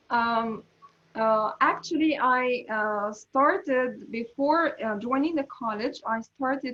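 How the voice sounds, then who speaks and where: A woman speaks with an American accent. Her pitch is high, with ordinary pitch variation. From Egypt, Alexandria. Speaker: English teacher. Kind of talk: interview answers. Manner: halting, many fillers.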